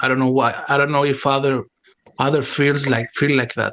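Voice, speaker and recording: With a non-native accent, a man speaks at a fairly high pitch. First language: not English. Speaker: bitcoin meme maker. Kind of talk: casual chat. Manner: halting, many fillers.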